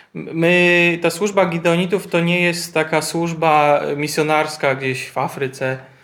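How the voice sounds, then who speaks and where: The pace is very slow. There are hardly any pauses. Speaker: interpreter. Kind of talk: sermon interpreting. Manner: halting.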